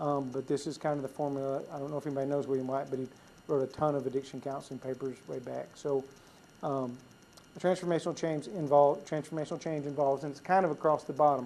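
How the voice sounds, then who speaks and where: A man speaks at a very fast pace in a fairly high pitch, his intonation monotone and flat. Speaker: conference speaker on recovery ministry. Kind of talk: conference talk.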